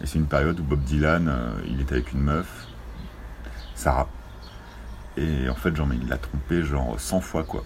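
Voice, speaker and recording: Long, frequent pauses amid noticeable background noise and audible room echo. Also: man, very deep, low pitch for a man, ordinary pitch variation, moderate pace. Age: 30s. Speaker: cinema manager. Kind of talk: casual chat.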